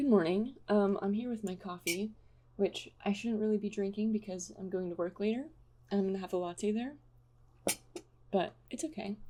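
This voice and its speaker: This voice has a somewhat breathy quality. Its tone comes across dark and mellow. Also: woman. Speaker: illustrator vlogger. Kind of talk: casual vlog talk. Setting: library. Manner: quiet, soft-spoken.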